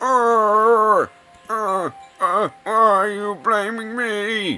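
A put-on character voice at a fairly high pitch plays over faint music in the background. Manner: defensive.

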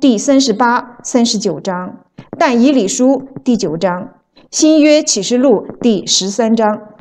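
This woman speaks at a very slow pace. Her tone is dark and mellow. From mainland China. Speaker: author and evangelist. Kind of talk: reading aloud.

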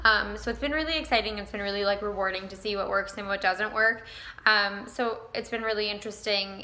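Speaking at a fairly quick pace, a woman keeps her intonation fairly even. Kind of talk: casual vlog chat. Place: shop. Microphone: phone near.

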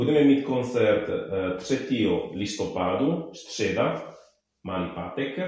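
Strong room echo surrounds a man speaking at a very slow pace. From Italy. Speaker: musician and Italian teacher. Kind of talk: interview answer. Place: home room.

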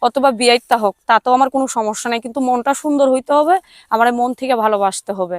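A woman's plain, everyday voice, fairly high in pitch with ordinary pitch variation, on a very clean recording with a silent background. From Bangladesh, Tangail. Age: 19. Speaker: domestic worker seeking a marriage partner. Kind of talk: interview.

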